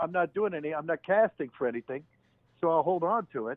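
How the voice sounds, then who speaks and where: Someone with an American accent talks at a very fast pace with ordinary pitch variation. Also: man. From Youngstown, Ohio. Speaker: voice actor. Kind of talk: podcast interview answer.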